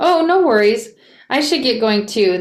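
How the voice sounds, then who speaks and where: Using a put-on character voice, a woman speaks at a moderate pace with a fairly high pitch. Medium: read story. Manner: easygoing, self-deprecating.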